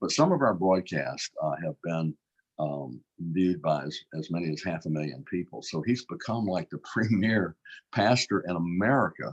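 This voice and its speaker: In a Louisiana accent, a man speaks with a very deep, low pitch. His intonation is lively and his pace moderate. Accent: Louisiana Southern US. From Baton Rouge, Louisiana, US South. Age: 70s. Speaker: state politician. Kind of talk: interview conversation. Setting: live online broadcast.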